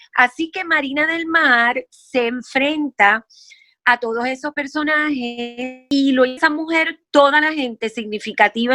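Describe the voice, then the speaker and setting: Over music in the background, a woman speaks at a fairly slow pace in a high pitch with lively intonation, the sound dry and close with no echo. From Puerto Rico. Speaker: actress and playwright. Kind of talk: interview answer.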